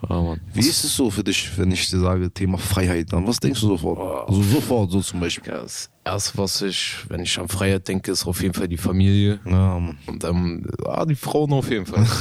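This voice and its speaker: A very deep, low male voice moving at a fairly quick pace. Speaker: inmate podcast host. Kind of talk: casual chat. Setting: youth prison.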